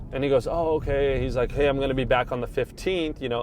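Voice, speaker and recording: A man's voice with vocal fry. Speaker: real estate agent. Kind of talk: casual chat. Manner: uses many fillers like um and like.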